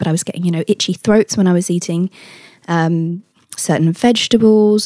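Speaking fairly quickly with a British accent, a woman has a dark, mellow tone and ordinary pitch variation, recorded with a dry, close sound and no echo. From Britain. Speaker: health supplement company founder. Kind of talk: interview. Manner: energetic.

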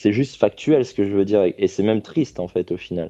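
Fairly low-pitched and dark, mellow in tone, a man speaks at a fairly quick pace with ordinary pitch variation, the sound dry and close with no echo. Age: 30s. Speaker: caller to a live dating advice hotline. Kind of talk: personal testimony on a call-in show. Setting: live call-in broadcast on social media. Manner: halting, with many fillers and repetitions.

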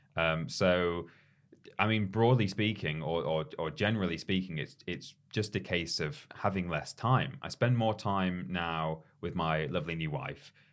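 Quiet background, and a man with a very deep, low pitch. His pitch variation is ordinary. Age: 30s. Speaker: podcast co-host. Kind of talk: casual chat; news reading.

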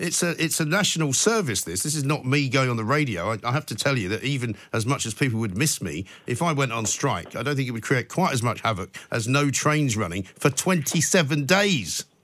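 A man with a British accent talks at a fairly quick pace, barely pausing. His pitch sits in the medium range. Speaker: radio host. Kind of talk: talk radio phone-in. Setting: studio.

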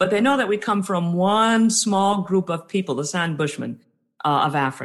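This is an unremarkable speaking voice with an American accent and lively intonation. The background is quiet. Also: woman. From US South, New Orleans. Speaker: author and diversity trainer. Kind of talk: interview.

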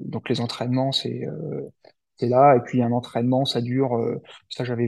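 Pitched at a medium level, a man talks at a moderate pace. His intonation stays fairly even. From central France, Cher. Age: 30s. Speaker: amateur ultra-runner, former bomb disposal soldier, entrepreneur. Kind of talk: interview. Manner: halting, many fillers and repetitions.

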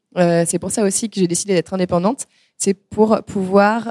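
With a dark, mellow tone and fairly even intonation, a woman speaks at medium pitch in a very clean recording with a silent background. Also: dry, close sound with no echo. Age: 30s. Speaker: pastry chef. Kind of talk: live panel talk. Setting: stage with audience. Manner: hesitant, many fillers.

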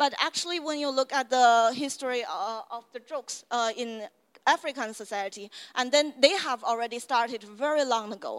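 Speaking at a moderate pace with a Chinese accent, a woman uses a high pitch and shows big swings in loudness. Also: ordinary pitch variation, very clean recording, silent background. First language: Mandarin Chinese. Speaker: university lecturer. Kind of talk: lecture. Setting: stage with audience.

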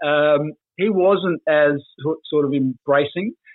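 A fairly slow delivery in an Australian accent. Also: man. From South Australia, Port Pirie. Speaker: former football player. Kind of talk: casual chat.

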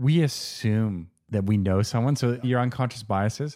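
At a fairly slow pace, a man talks in a medium pitch with a dark, mellow tone. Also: very clean recording, silent background. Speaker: podcast host. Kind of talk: casual interview.

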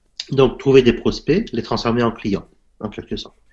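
A man's medium-pitched voice moves at a fairly slow pace. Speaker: self-taught entrepreneur. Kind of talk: interview. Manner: halting, many fillers.

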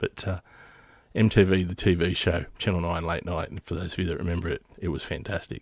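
A fairly quick voice in an Australian accent, dry and close with no echo, in a very clean recording with a silent background. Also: man. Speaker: podcast host. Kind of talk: casual solo monologue. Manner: halting, many fillers.

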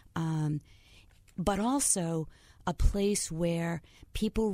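A calm woman with a fairly low pitch, a dark, mellow tone, ordinary pitch variation and an American accent, on a very clean recording with a silent background. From Connecticut, US. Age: 60s. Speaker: LGBTQ youth advocate. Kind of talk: interview. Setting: studio. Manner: calm, empathetic.

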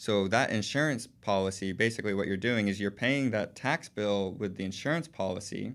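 An ordinary speaking voice in an American accent, with ordinary pitch variation and a fairly quick pace. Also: man, fairly low pitch for a man. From Texas, Houston. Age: 20s. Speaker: financial advisor. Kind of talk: interview.

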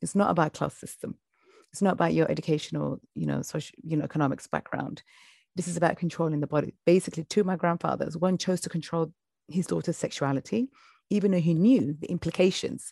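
A woman's very fast speech with vocal fry, over a quiet background. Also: ordinary pitch variation, dry, close sound with no echo. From UK. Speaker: FGM survivor and activist. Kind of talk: interview testimony.

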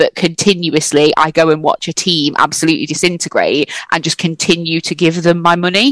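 Hardly any pauses, a dry, close sound with no echo, and noticeable background noise. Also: woman, fairly low pitch for a woman, fairly quick pace. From Scotland. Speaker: football fan panelist and podcaster. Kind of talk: casual panel discussion. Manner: animated.

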